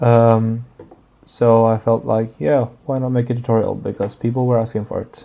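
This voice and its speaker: Someone with a non-native accent talks at a moderate pace in a monotone, flat way. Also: man. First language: not English. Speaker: 3D artist and tutorial maker. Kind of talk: tutorial. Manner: halting, many fillers.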